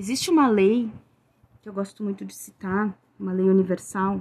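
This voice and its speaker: The woman's voice is medium in pitch and somewhat breathy. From Rio Grande do Sul, southern Brazil. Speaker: tarot reader and witch. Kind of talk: solo podcast monologue.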